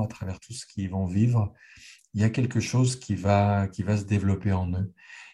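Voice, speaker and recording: A man's fairly low, somewhat breathy voice with a dark, mellow tone and fairly even intonation. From Geneva, Switzerland. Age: 60s. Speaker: author. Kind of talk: conversational interview. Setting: video call. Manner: repetitive stammering.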